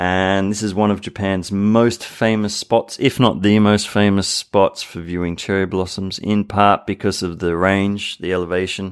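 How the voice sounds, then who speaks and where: A man with an Australian accent and a fairly low pitch speaks at a moderate pace in a monotone, flat intonation with hardly any pauses, on a very clean recording with a silent background. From Sydney, Australia. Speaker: podcast co-host. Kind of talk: casual chat.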